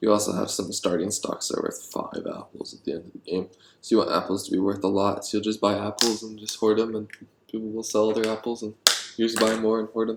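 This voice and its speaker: A man talks at a very fast pace in a flat, monotone delivery, his loudness swinging widely over noticeable background noise. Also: fairly low pitch for a man. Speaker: board game designer, YouTuber. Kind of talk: solo thinking aloud while designing games. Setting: alone at night. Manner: quiet, not very loud; hesitant, many fillers.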